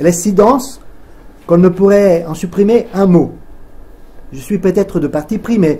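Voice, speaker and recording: Long, frequent pauses mark a man's moderate pace. His voice is high-pitched with ordinary pitch variation. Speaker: event moderator. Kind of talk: reading aloud. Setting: stage with audience. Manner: halting.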